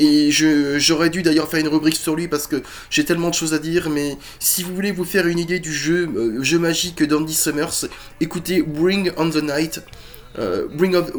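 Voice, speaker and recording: With a fairly high pitch and fairly even intonation, a man speaks at a moderate pace. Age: 40s. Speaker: musician and YouTuber. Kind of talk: casual chat. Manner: hesitant, many fillers.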